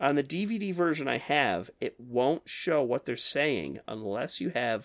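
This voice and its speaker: On a very clean recording with a silent background, a man speaks at a fairly slow pace in a medium pitch, with vocal fry and lively intonation. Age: 30s. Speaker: podcast host. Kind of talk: casual chat.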